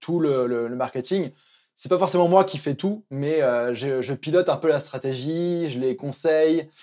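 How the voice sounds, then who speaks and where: A man's dark, mellow voice at a fairly slow pace, with ordinary pitch variation and a quiet background. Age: 20s. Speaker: freelance coach for digital nomads. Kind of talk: casual interview.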